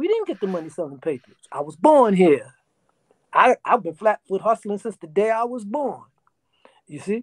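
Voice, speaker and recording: Speaking in a New York accent over a quiet background, with a dry sound and no echo, a man sounds animated, his high voice making very wide pitch swings between long, frequent pauses. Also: moderate pace, big swings in loudness. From New York, South Bronx. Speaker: interview guest. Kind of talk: interview storytelling. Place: home room. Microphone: video call.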